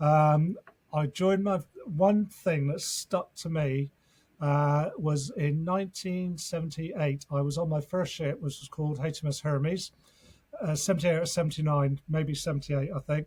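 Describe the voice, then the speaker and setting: A man speaks with an English accent at a fairly high pitch. His intonation is fairly even and his pace moderate. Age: 60s. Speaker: fitness coach and former navy serviceman. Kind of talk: podcast interview. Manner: hesitant with fillers.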